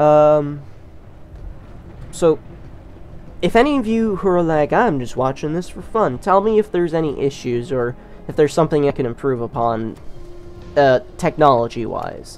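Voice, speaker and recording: Over music in the background, the speech moves at a moderate pace, broken by long, frequent pauses. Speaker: gaming YouTuber. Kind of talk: gameplay commentary. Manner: loud; casual, hesitant with fillers.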